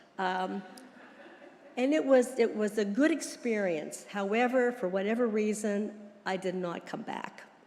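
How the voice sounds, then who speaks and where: A woman with an American accent and a fairly high voice, speaking at a fairly slow pace with ordinary pitch variation, amid audible room echo and noticeable background noise. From US, Pittsburgh area. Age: 80s+. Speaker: church member. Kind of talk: testimony. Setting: church.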